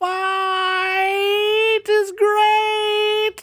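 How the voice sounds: Flat and monotone, the put-on character voice sits at an extremely high pitch.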